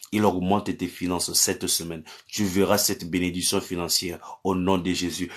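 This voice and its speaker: Over a quiet background, a man speaks at a moderate pace with a very deep, low pitch and monotone, flat intonation. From Cameroon. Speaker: pastor. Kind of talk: live-stream prayer and chat with viewers. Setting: live stream on social media. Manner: repetitive incantatory declarations. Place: home room. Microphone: phone near.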